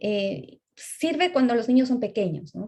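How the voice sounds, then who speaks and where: Her somewhat breathy voice makes very wide pitch swings as the woman speaks. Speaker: speech therapist lecturer. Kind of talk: lecture.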